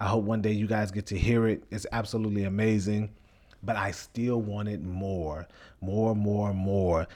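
A monotone, flat delivery in a dark, mellow tone moves at a moderate pace on a very clean recording with a silent background. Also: man, fairly low pitch for a man. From Chicago, west side. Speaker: reality TV cast member and podcaster. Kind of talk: casual monologue.

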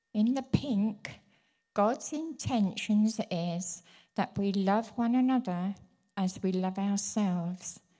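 A woman's medium-pitched voice, dark and mellow and somewhat breathy, very slow, with ordinary pitch variation, in a very clean recording with a silent background. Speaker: church minister's wife, prophetic speaker. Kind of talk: prophetic word. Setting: church.

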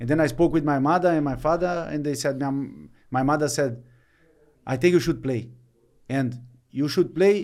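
A man with a Brazilian accent speaks at a fairly slow pace in a dark, mellow tone. His pitch is fairly high, with ordinary variation. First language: Portuguese. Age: 30s. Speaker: retired footballer. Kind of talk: interview. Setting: studio. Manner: halting.

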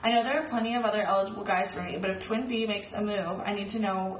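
A woman speaks at a very fast pace with fairly even intonation. Noticeable background noise runs beneath her. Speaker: podcast co-host. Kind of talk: casual chat.

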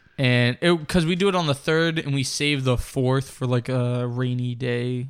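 On a very clean recording with a silent background, a man in an unremarkable speaking voice talks at a moderate pace and medium pitch with fairly even intonation. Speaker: podcast co-host. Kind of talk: casual chat.

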